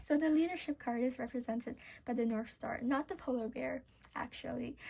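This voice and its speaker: A woman with a non-native accent, high in pitch yet dark and mellow in tone, at a fairly quick pace with ordinary pitch variation. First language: not English. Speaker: tarot reader. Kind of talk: tarot reading to camera. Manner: hesitant, with fillers.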